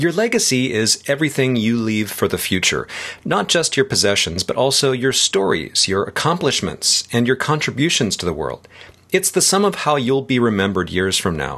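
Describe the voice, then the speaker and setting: A man with a medium pitch and a bright, sharp tone talks at a moderate pace, his very wide pitch swings touched with vocal fry. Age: 50s. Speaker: tech writer and podcast host. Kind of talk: scripted dialogue reading.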